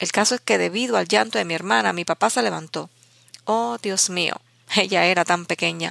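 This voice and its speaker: In a dry, close recording with no echo, a woman talks at a moderate pace with a fairly low pitch, vocal fry, and very wide swings in pitch. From Cuba, Candelaria (Artemisa). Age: 60s. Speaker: writer and editor. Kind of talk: personal storytelling interview.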